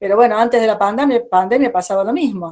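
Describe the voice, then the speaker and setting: With an Argentine accent, a woman talks at a very fast pace in a fairly high voice, her intonation lively. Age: 70s. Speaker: psychologist and education speaker. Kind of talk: online talk.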